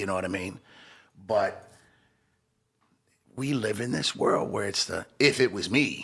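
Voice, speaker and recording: A man with a fairly low voice speaks at a fairly slow pace with ordinary pitch variation, leaving long, frequent pauses. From Los Angeles. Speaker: hip-hop entrepreneur. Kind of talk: interview.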